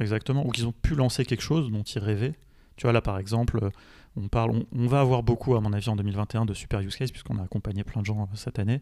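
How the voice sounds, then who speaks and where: Recorded very cleanly against a silent background, a man with a medium-pitched, dark, mellow voice talks at a very fast pace with fairly even intonation. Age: 30s. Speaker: tech entrepreneur and podcast host. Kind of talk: casual interview. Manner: hesitant, many fillers.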